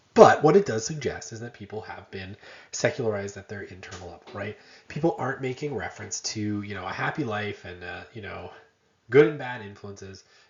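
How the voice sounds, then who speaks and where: The voice is somewhat breathy, with big swings in loudness. It moves at a fairly quick pace with ordinary pitch variation. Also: man, fairly low pitch for a man. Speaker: university lecturer. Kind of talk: lecture. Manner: animated, emphatic.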